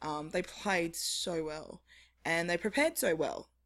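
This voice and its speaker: A woman with an Australian accent, fairly low-pitched, at a moderate pace. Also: very clean recording, silent background. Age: 30s. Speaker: women's football editor. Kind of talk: casual chat. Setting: stage with audience.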